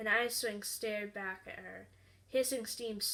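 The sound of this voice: The intonation is mostly level. The voice reads in an unforced way.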